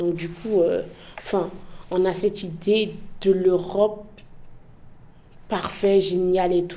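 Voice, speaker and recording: A woman with an Ivorian accent speaks at a medium pitch, very slowly, with long, frequent pauses and monotone, flat intonation. Audible room echo and noticeable background noise fill the recording. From Côte d'Ivoire. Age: young. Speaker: immigrant interviewee. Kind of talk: interview. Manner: casual, hesitant with many fillers.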